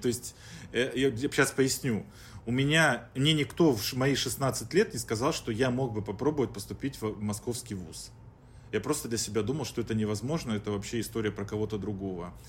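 A man with a plain, everyday voice talks at a medium pitch and a moderate pace, using ordinary pitch variation. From Chelyabinsk, Russia. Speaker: startup founder and business consultant. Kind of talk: podcast interview, business talk.

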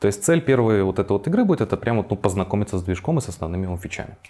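Talking at a very fast pace, a man with a fairly low pitch uses lively intonation over noticeable background noise. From Belarus, Minsk. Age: 20s. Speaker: game developer. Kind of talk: interview.

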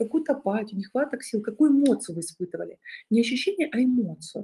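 A woman's voice comes through with a dark, mellow tone and a somewhat breathy quality. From southern Russia, Rostov region. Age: 30s. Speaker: psychologist and online course founder. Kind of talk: webinar presentation. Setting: live online webinar.

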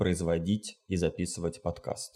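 A man speaks with a dark, mellow tone. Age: 30s. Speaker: psychotherapist, podcast co-host. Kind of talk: casual interview chat. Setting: remote call.

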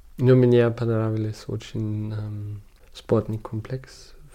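At a very slow pace with long, frequent pauses, a man speaks in a medium pitch with monotone, flat intonation and a dark, mellow tone. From Germany, Munich. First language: German (speaking Russian). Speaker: documentary photographer. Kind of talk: interview. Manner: halting, with many fillers.

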